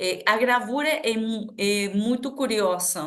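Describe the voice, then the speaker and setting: A woman with an Argentine accent, fairly high in pitch, very slow, with ordinary pitch variation. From Argentina, Buenos Aires province. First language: Spanish (speaking Portuguese). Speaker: artist and social project founder. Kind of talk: podcast interview. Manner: halting, many fillers.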